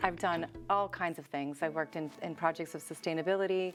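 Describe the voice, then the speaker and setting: Over background music, a woman with an American accent and a fairly low pitch speaks at a fairly quick pace. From Boston, US. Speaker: health coach and dietitian. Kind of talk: interview. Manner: animated.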